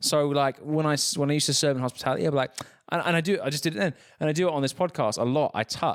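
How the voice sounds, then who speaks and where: This speaker has an English accent and an animated tone, going at a very fast pace. The sound is dry and close with no echo, in a very clean recording with a silent background. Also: man. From England. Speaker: podcast host. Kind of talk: casual chat.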